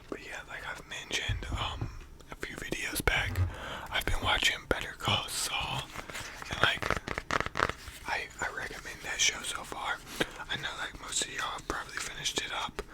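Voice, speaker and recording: Whispering at a moderate pace with long, frequent pauses, a man is heard over noticeable background noise. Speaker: ASMR YouTuber. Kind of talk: casual talk to camera. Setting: studio, microphone at home. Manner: whispered.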